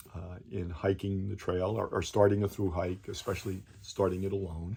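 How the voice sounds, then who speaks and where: Somewhat breathy, with a dark, mellow tone, the voice moves at a moderate pace with monotone, flat intonation. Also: man. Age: 70s. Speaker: hiker vlogger. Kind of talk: video announcement monologue. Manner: halting, many fillers.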